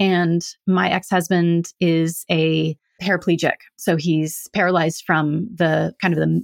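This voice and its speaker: At a very slow pace, a woman talks with a West Coast American accent in a very clean recording with a silent background and a dry, close sound with no echo. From California. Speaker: hypnotherapist. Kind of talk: interview conversation.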